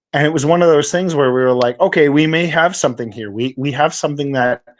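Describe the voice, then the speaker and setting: A man with a Canadian accent has a normal speaking voice with a fairly high pitch and ordinary pitch variation. The recording is very clean, with a silent background. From Canada. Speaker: crypto project founder. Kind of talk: podcast interview. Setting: live stream.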